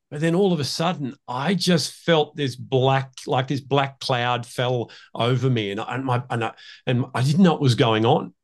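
A man at a medium pitch with an Australian accent, moderate pace and ordinary pitch variation, over a quiet background. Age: 60s. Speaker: leadership coach and emotional intelligence trainer. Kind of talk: interview.

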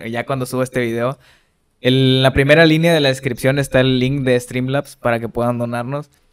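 In a normal speaking voice, this man talks at a medium pitch. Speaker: podcast co-host. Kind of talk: casual chat. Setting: studio.

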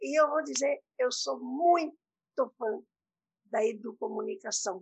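A woman speaks at a very slow pace. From southern Brazil. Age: 80s+. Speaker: educator and author. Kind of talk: interview.

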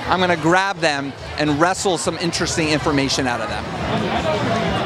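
Noticeable background noise around a man's moderately paced speech, with ordinary pitch variation. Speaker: podcast host. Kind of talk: red carpet interviews and intro. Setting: live event. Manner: animated.

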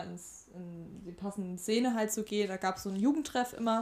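A woman is talking. Her pace is fairly quick. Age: 20s. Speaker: student teacher and tutor. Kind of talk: casual chat.

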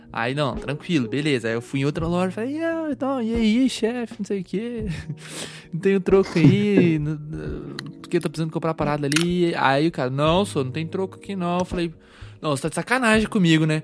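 Noticeable background noise sits behind a man speaking at a fairly quick pace, high in pitch, with lively intonation. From small-town Brazil. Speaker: podcast host. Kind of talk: casual chat.

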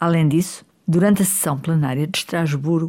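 A woman's fairly low, dark and mellow voice in a European Portuguese accent, with ordinary pitch variation and a moderate pace. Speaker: politician. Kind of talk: opinion commentary. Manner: formal.

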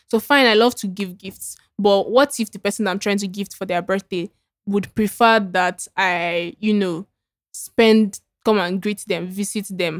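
A woman speaks with a Nigerian accent at a moderate pace, her medium pitch showing ordinary variation. The sound is dry and close, with no echo. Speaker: podcast co-host. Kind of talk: casual chat. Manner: animated.

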